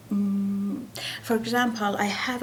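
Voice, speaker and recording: A woman with an Iranian accent speaks with fairly even intonation over noticeable background noise, with audible room echo. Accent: Iranian (Persian). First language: Persian. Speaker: painter. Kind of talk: interview. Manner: halting, many fillers.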